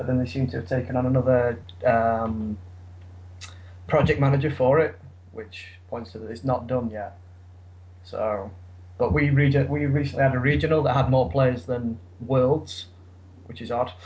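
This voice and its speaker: Somewhat breathy man at a medium pitch, ordinary pitch variation, moderate pace, long and frequent pauses, audible room echo. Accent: English. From England. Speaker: podcast co-host. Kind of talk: casual chat about a card game. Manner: halting, many fillers.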